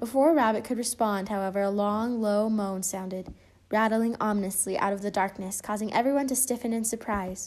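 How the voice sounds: A natural reading voice is heard. It reads throughout the clip.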